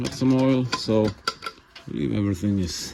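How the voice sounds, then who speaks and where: With a Swedish accent, a man speaks at a fairly slow pace in a medium pitch with ordinary pitch variation. Noticeable background noise can be heard. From Sweden. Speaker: YouTube mechanic / tractor restorer. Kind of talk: casual workshop vlog narration. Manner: hesitant, with many fillers.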